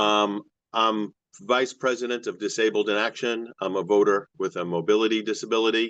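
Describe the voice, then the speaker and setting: In a plain, everyday voice, a man speaks at a moderate pace with fairly even intonation. His pitch is fairly low, and the background is quiet. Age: 60s. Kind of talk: public testimony.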